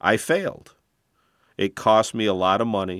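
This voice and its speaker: At a moderate pace, a man with a fairly low pitch speaks with ordinary pitch variation on a very clean recording with a silent background. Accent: American. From Flint, Michigan. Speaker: former payday lender. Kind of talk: interview.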